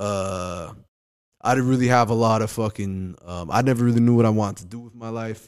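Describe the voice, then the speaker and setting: At a fairly quick pace, a man with a New York accent speaks at a medium pitch with fairly even intonation and big swings in loudness, in a very clean recording with a silent background. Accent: New York-like. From Hawaii, Kauai. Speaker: comedian. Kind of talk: casual chat. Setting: studio.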